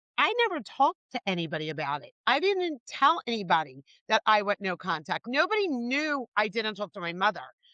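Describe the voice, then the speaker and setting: A woman speaks with a bright, sharp tone at a fairly high pitch, her pitch swinging very widely. The sound is dry and close, with no echo. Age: 60s. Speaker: podcast host. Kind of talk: podcast interview.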